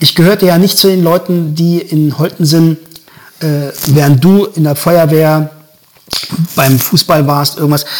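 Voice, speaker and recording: Fairly slow speech with long, frequent pauses, very even loudness, and noticeable background noise. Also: man, fairly high pitch for a man, fairly even intonation. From Germany, Göttingen area (Lower Saxony). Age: 50s. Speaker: musician and a cappella singer. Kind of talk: casual interview.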